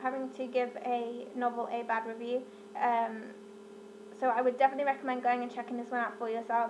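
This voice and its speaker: Talking very fast with a British accent, a woman speaks at a high pitch over noticeable background noise. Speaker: book vlogger. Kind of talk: casual book review monologue. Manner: animated.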